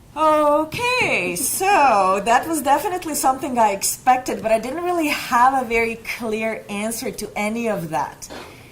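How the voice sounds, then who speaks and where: Over noticeable background noise, a woman with a high-pitched voice talks at a moderate pace with very wide pitch swings and hardly any pauses. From Bosnia-Herzegovina. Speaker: nurse. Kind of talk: panel presentation.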